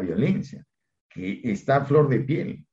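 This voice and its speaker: Dark and mellow with a somewhat breathy edge, a man's medium-pitched voice moves at a fairly slow pace with very wide pitch swings. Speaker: law professor and criminologist. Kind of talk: interview.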